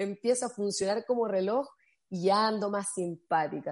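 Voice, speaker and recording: Her voice carries a dark, mellow tone. The woman keeps a fairly quick pace. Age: 30s. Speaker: motivational speaker. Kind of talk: casual chat.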